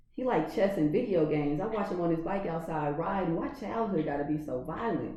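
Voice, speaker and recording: Speaking at a fairly quick pace with lively intonation, a woman with an American accent is heard over noticeable background noise. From California. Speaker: poet. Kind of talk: poetry reading.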